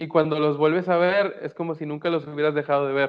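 A man with a Mexican accent talks with fairly even intonation. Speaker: podcast co-host. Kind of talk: casual chat. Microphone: connection freezing.

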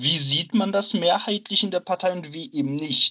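A man's voice with a bright, sharp tone. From Dortmund, Germany. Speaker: student, party member. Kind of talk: casual chat.

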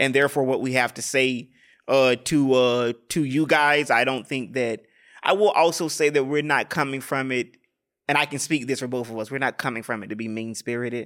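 An unremarkable speaking voice from a man, medium in pitch, with fairly even intonation and a moderate pace, on a very clean recording with a silent background. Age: 30s. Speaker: podcast co-host. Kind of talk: casual chat.

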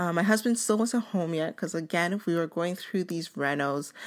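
This woman has an ordinary speaking voice, fairly low in pitch with ordinary pitch variation. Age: 20s. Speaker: podcast host. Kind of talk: personal storytelling monologue.

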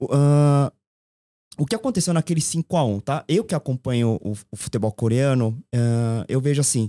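On a very clean recording with a silent background, a man with a dark, mellow tone and medium pitch speaks at a fairly slow pace with lively intonation in a dry, close sound with no echo. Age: 40s. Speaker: football commentator guest, marketing agency owner. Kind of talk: casual chat.

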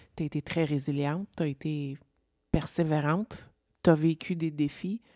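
A woman speaks at a fairly slow pace in a very deep, low pitch, her tone dark and mellow and her intonation fairly even, with dry, close sound and no echo on a very clean recording with a silent background. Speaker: podcast co-host, entrepreneur. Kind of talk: interview in casual chat.

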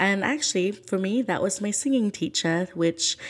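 A woman with a medium pitch and a somewhat breathy sound speaks at a moderate pace, her pitch swinging very widely. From Philippines, moved to the UK at seven. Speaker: student podcaster, care leaver. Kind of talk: personal testimony monologue.

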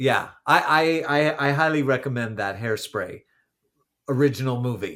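A man's bright, sharp tone with an American accent, ordinary pitch variation and a moderate pace. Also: medium pitch for a man, very clean recording, silent background. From California. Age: 50s. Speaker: podcast co-host, stage actor. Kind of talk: casual chat.

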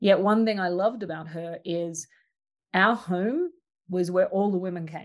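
With an Australian accent, a woman speaks at a moderate pace and medium pitch, her intonation fairly even but her loudness swinging widely. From rural Australia. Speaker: social design ethnographer and artist. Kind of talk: casual interview conversation.

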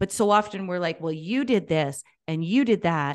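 Against a quiet background, a woman with an unremarkable speaking voice talks at a moderate pace with a fairly low pitch and lively intonation. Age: 40s. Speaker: life and business coach. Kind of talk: casual interview conversation.

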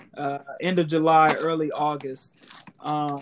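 This man's voice, pitched fairly high, comes with noticeable background noise behind it. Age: 20s. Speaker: sports podcast host. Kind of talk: casual chat.

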